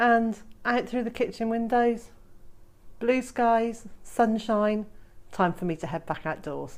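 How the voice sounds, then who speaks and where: Speaking at a very slow pace with long, frequent pauses, a woman uses a fairly high pitch. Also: ordinary pitch variation. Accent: British. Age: 50s. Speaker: homesteader and gardening vlogger. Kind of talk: casual vlog narration. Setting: outdoors on homestead.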